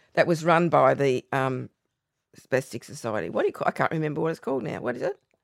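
Dry and close with no echo, a woman's very deep, low voice with vocal fry rushes at a very fast pace with lively intonation in an Australian accent. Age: 70s. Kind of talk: casual interview chat.

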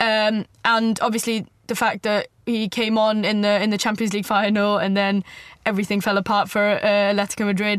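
A woman's medium-pitched, fairly quick speech with monotone, flat intonation and very even loudness, over a quiet background. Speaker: football writer. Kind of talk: casual chat. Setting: studio. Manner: halting.

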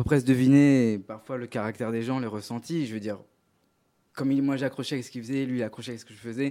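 In a very clean recording with a silent background, a man with a medium pitch and a dark, mellow tone speaks at a fairly quick pace. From Paris region, France. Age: young. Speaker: singer-songwriter. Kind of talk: interview. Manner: halting.

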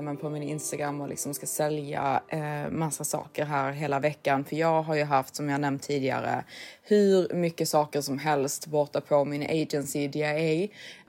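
A woman speaks at a moderate pace with a very deep, low pitch. She hardly pauses at all. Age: 30s. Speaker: podcast co-host. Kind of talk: casual chat.

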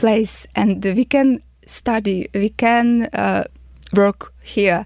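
A woman is speaking. Her pitch is fairly high and her intonation fairly even. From Ukraine. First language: Ukrainian. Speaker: refugee. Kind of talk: testimony. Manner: halting.

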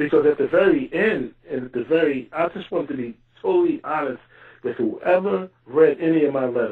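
A man with an American accent and a normal speaking voice talks at a fairly quick pace, his fairly high pitch carrying lively intonation. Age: 40s. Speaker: exoneree. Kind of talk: interview.

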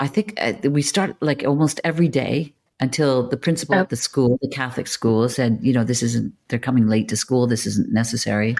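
Speaking with a Canadian accent at a fairly quick pace, a woman with a very deep, low pitch uses lively intonation while keeping her loudness very even. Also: hardly any pauses. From Canada (Toronto), Maltese immigrant family. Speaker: actor and filmmaker. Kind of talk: casual interview chat.

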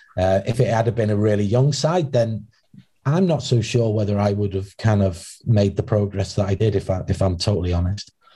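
Speaking at a moderate pace with a North Wales accent, a man with a fairly low, somewhat breathy voice keeps his loudness very even and his pitch variation ordinary. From Wales, Wrexham. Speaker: former footballer, academy recruitment head. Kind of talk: interview. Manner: halting.

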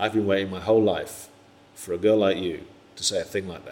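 Using a gravelly put-on character voice, a man speaks at a fairly low pitch and fairly quick pace in a monotone, flat intonation.

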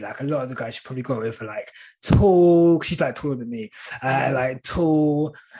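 Over a quiet background, a man speaks in a dark, mellow tone at a fairly high pitch. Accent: southern English. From St Albans, Hertfordshire, England. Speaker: content creator. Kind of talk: casual chat.

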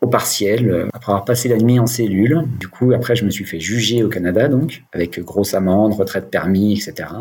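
A man with a fairly low pitch speaks at a moderate pace with ordinary pitch variation over noticeable background noise. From France, Dijon. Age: 40s. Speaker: sobriety coach, recovered alcoholic. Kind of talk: personal testimony in podcast interview. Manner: hesitant, many fillers and repetitions.

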